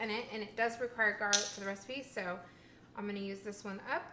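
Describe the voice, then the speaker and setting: In a room with audible echo, a woman mumbles with a fairly high pitch. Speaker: vegan food vlogger. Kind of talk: casual cooking vlog. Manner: mumbling; halting.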